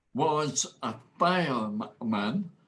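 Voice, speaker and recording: A man speaks with a Scottish accent and ordinary pitch variation. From Scotland. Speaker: motivational speaker. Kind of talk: interview answer.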